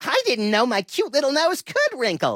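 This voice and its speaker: A high-pitched, put-on character voice at a moderate pace. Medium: video game.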